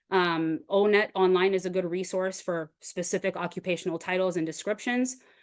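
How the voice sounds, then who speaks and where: A woman speaks in a medium pitch with an American accent. The background is quiet. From US Northeast, Boston. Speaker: webinar presenter, career pathways expert. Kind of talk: webinar presentation. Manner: fast.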